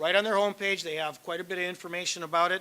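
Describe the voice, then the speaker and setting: This man's voice has a bright, sharp tone and sits at a high pitch. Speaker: attorney giving seminar talk. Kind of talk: lecture. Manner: fast.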